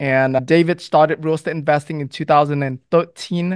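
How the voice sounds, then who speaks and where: A man speaks with fairly even intonation, his dry voice carrying no echo over a quiet background. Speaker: podcast host. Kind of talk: show intro reading guest bio. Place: studio. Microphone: studio mic.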